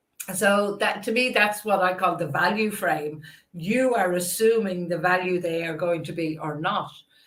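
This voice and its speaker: Audible room echo fills the space. A woman speaks at a moderate pace in an Irish accent. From Ireland. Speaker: podcast host. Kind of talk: interview.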